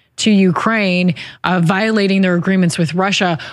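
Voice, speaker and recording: A woman talks in an ordinary speaking voice. Her pitch sits at a medium level with ordinary pitch variation. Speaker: interviewer. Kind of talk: interview.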